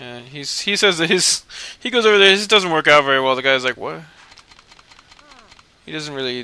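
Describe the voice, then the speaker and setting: A man with a fairly high pitch mumbles at a fairly quick pace, using lively intonation, long, frequent pauses and big swings in loudness, with noticeable background noise behind him. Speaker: video game let's player. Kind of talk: casual gameplay commentary. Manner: mumbling, rambling.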